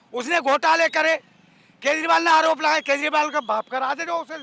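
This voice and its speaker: A raised, projected voice comes through at a moderate pace with a dry, close sound and no echo, over noticeable background noise. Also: man. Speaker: voter interviewed in street debate. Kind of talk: heated debate. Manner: loud.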